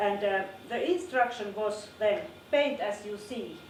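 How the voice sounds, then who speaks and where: A woman with a non-native accent, at a medium pitch and fairly slow pace, with ordinary pitch variation, audible room echo and noticeable background noise. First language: not English. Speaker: art teacher. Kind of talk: lecture. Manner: halting.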